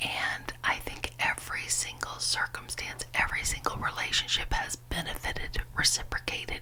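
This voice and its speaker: At a moderate pace with hardly any pauses, a woman whispers in a soothing tone over noticeable background noise. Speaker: ASMR creator. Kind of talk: ASMR whispered ramble. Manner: whispered; soft-spoken, soothing.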